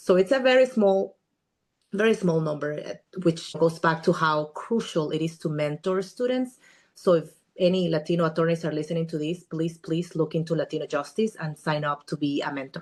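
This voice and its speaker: Her pitch is fairly low for a woman, with ordinary variation. She speaks at a fairly quick pace. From Guatemala. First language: Spanish. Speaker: immigration attorney. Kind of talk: podcast interview.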